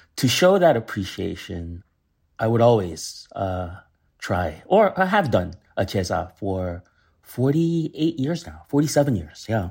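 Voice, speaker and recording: Somewhat breathy and with an American accent, a man talks at a medium pitch and a fairly slow pace, his pitch swinging very widely. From US. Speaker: chef. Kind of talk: casual chat. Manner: halting.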